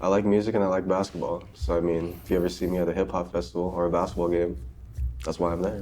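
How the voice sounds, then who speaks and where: The pace is very fast, with ordinary pitch variation. Vocal fry runs through the voice. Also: man, very deep, low pitch for a man. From Southern California. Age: 20s. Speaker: podcast co-host. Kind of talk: casual chat.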